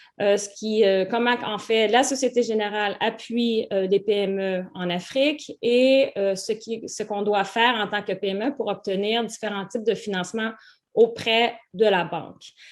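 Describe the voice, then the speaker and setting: With a Canadian French accent, a woman speaks at a fairly slow pace. Her pitch is fairly high and her intonation fairly even. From Canada. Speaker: webinar host, business club co-founder. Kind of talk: online masterclass introduction. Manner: hesitant, many fillers.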